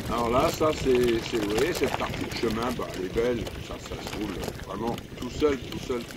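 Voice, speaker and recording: In a room with audible echo and noticeable background noise, a man talks at a moderate pace. His pitch is medium, with ordinary variation. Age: 70s. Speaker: vlogger and retired amateur cyclist. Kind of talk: casual vlog narration while cycling. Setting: outdoors on a bike ride. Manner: hesitant, many fillers.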